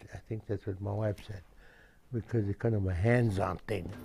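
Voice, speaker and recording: Somewhat breathy and dark, mellow in tone, a man speaks at a fairly low pitch and moderate pace with fairly even intonation, on a very clean recording with a silent background. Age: 70s. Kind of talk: interview. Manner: halting.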